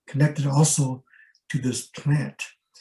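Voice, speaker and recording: A man speaks at a fairly slow pace in a fairly high pitch, his dark, mellow tone somewhat breathy and his intonation monotone and flat. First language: Rarámuri and Mayo. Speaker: ethnobotanist and scholar. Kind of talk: lecture.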